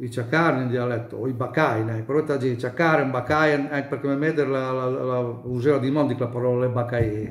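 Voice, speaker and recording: Audible room echo surrounds a voice with fairly even intonation and a Bolognese accent. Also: man. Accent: mountain Bolognese dialect. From Bolognese Apennines, Gaggio Montano area; Bolognese Apennines, Italy. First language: Bolognese dialect (speaking Italian). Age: 70s. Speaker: dialect speaker interviewee; speaker. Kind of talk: interview. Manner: halting. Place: home room. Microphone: phone near.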